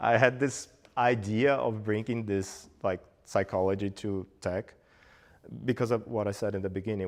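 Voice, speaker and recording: In a quiet background, a man with a Portuguese accent speaks at a moderate pace with fairly even intonation. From Brazil, Bahia. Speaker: meetup speaker, frontend developer. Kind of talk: Q&A after talk.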